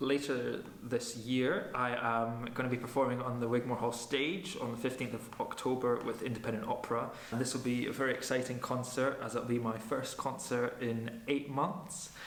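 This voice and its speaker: Someone with a Highland Scottish accent speaks at a moderate pace with fairly even intonation and hardly any pauses. The recording has audible room echo and noticeable background noise. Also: man, medium pitch for a man. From Scottish Highlands, Nairn. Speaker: opera singer. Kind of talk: interview talk. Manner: hesitant, many fillers.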